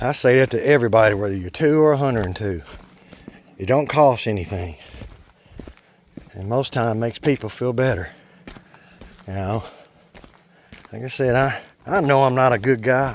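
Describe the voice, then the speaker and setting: There is noticeable background noise as a man talks at a moderate pace, pausing long and often. His pitch is medium with ordinary variation. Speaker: hiking vlogger. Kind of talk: casual vlog monologue while hiking. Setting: outdoors on a forest trail. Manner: loud, projecting voice; rambling filler-heavy speech.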